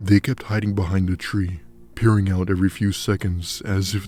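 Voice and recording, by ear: A person reads a text aloud. The delivery is natural.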